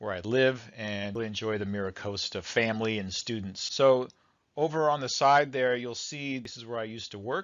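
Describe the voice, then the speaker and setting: Speaking at a fairly quick pace with an American accent, this voice shows ordinary pitch variation. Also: man. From US West Coast, San Diego. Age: 50s. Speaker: college business professor. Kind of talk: recorded course introduction video. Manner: casual and conversational.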